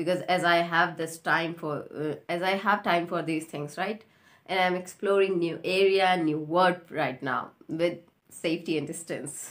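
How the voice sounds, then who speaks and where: A woman with an Indian accent at a fairly slow pace, her intonation fairly even. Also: fairly low pitch for a woman. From India, Rajasthan. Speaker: YouTuber and English learner. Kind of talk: casual chat; channel intro.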